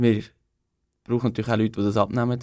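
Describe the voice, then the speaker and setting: This man talks in an Aargau accent with monotone, flat intonation. The recording is very clean, with a silent background. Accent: Swiss German (Aargau). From Switzerland, Aargau. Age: 20s. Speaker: young political candidate. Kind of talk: radio interview. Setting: radio studio. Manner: hesitant, many fillers.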